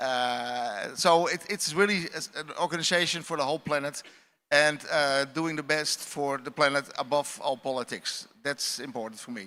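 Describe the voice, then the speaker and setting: In a Dutch accent, a man speaks at a fairly high pitch with a bright, sharp tone. His pace is moderate and his pitch variation ordinary. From Netherlands. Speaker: astronaut. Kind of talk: panel discussion.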